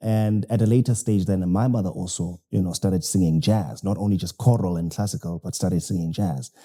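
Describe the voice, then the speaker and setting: A man with a South African accent speaks in a very deep, low pitch and a dark, mellow tone, with ordinary pitch variation. He keeps a fairly quick pace with hardly any pauses on a very clean recording with a silent background. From South Africa, KwaZulu-Natal. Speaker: jazz violinist and pastor. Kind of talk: interview. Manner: hesitant, many fillers.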